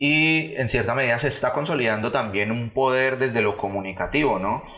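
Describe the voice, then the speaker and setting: The speaker is a man whose pitch rises and falls in an ordinary way. The room adds audible echo. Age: 30s. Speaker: political analyst. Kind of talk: casual chat. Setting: studio. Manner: halting.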